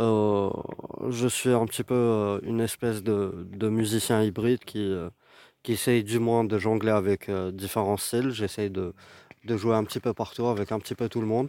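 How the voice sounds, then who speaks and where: Fairly slow, monotone, flat speech from a man with a fairly low pitch and a dark, mellow tone, on a very clean recording with a silent background. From Algeria, Algiers. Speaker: saxophonist. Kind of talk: interview testimony. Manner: halting, many repetitions.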